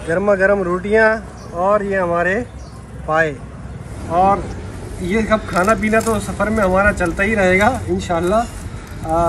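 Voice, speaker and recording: A man with a high pitch and fairly even intonation speaks at a very slow pace. His speech has long, frequent pauses, with noticeable background noise. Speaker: food vlogger host. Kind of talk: casual vlog chat. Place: street. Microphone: phone near.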